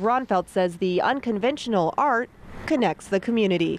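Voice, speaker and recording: Against noticeable background noise, a woman with fairly high pitch speaks at a moderate pace with lively intonation. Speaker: TV news reporter. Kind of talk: TV news report.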